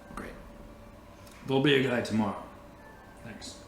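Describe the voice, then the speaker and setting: With slight echo, a man does a raspy, put-on character voice at a medium pitch and a moderate pace. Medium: actual play. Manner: casual, relaxed.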